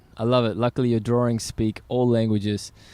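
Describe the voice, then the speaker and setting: The pace is fairly quick as this man talks. His recording is very clean, with a silent background. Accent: Australian. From Australia. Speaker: podcast host. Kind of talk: casual interview. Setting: outdoors at a skate spot. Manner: animated.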